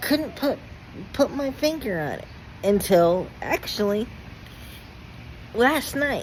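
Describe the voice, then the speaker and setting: A woman speaks with very wide pitch swings. Noticeable background noise can be heard behind her. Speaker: vlogger. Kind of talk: personal vlog testimony. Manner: halting, stuttering.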